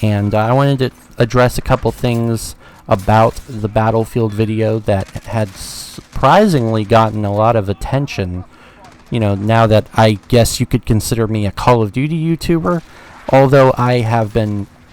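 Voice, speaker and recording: With noticeable background noise, a man of medium pitch speaks at a fairly slow pace with ordinary pitch variation. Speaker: gaming YouTuber. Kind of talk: unscripted video commentary. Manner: halting, self-correcting.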